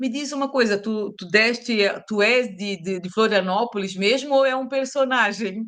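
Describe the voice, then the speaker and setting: Ordinary pitch variation and a moderate pace, in a Santa Catarina accent. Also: woman. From Brazil, Santa Catarina (Itajaí). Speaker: teacher and speaker. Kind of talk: interview conversation.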